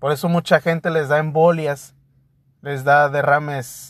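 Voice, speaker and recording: In a very clean recording with a silent background and a dry, close sound with no echo, a man with a fairly high pitch talks at a fairly slow pace in a monotone, flat intonation. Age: 30s. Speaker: podcast host. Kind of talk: casual monologue.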